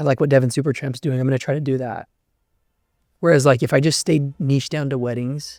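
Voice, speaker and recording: In a very clean recording with a silent background, a man with an American accent and a plain, everyday voice talks at a fairly quick pace, with a fairly high pitch and fairly even intonation. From Southern California (small town). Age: 20s. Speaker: wedding filmmaker. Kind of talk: casual interview chat.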